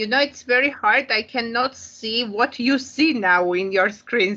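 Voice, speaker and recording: A woman with an Armenian accent, a bright, sharp tone and fairly high pitch, very slow pace, ordinary pitch variation. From Armenia, Yerevan. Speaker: English teacher and psychologist. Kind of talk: conference presentation.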